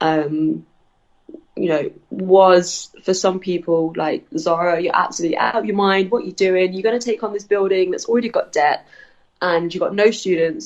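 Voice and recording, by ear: A woman's fairly low voice, slightly mellow in tone, with fairly even intonation at a moderate pace.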